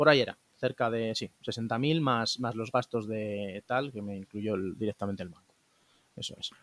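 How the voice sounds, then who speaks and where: A man with an unremarkable speaking voice talks at a moderate pace and medium pitch, with ordinary pitch variation. His loudness swings widely, and the sound is dry and close with no echo. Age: 20s. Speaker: interviewee, young saver who bought a flat. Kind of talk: interview.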